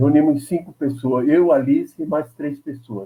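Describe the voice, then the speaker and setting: Somewhat breathy and dark, mellow in tone, a man talks at a moderate pace. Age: 80s+. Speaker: veteran labor activist, former congressman. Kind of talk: interview.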